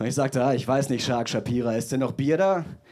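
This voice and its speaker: Over a quiet background, a man speaks with lively intonation. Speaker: stand-up comedian. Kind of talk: roast battle, stand-up comedy with audience. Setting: stage with audience. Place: stage. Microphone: handheld.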